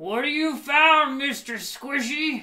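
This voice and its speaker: Put-on character voice from a man at an extremely high pitch, fairly slow in pace. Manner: taunting.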